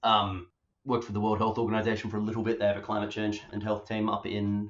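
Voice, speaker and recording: This is a man speaking with an Australian accent. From Western Australia (Perth). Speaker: public health doctor. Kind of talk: interview.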